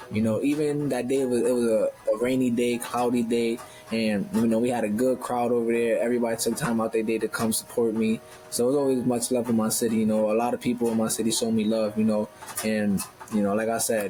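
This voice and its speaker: Speaking very fast in a Northeastern US accent, a man holds a medium pitch and a monotone, flat intonation at very even loudness, with noticeable background noise behind him. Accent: Northeastern US urban. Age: 20s. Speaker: professional boxer. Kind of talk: interview conversation.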